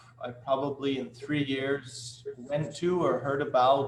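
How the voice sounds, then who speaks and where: Against noticeable background noise, a man with an American accent speaks at a fairly slow pace in a medium pitch, his intonation monotone and flat. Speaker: flute company manager, interviewer. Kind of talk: interview. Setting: live webcast.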